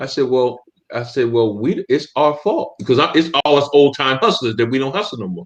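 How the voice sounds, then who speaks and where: A man's ordinary speaking voice with an American accent, lively intonation and a fairly quick pace. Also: medium pitch for a man. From US Northeast, Camden New Jersey. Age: 60s. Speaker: podcast co-host. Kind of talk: casual discussion.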